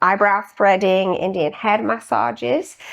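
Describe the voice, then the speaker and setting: The voice belongs to a woman with medium pitch. She has a British accent. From UK. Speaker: registered nurse and spa owner. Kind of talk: podcast interview.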